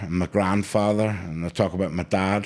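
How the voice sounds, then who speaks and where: In a Northern Irish accent, a man speaks at a fairly low pitch with monotone, flat intonation. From Northern Ireland (Rathcoole, Belfast), moved to Manchester as a kid. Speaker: rapper. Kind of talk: casual chat.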